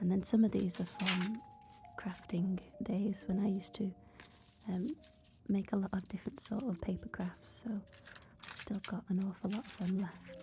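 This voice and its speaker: Music plays in the background as a woman speaks at a medium pitch and a moderate pace. Her intonation is fairly even, with long, frequent pauses. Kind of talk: casual ASMR voiceover. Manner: soft-spoken.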